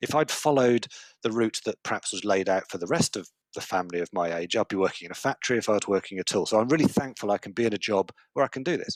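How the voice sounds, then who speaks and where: A man speaks at a very fast pace and a fairly low pitch with lively intonation. The sound is dry and close with no echo. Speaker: conference speaker. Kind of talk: conference talk. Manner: animated.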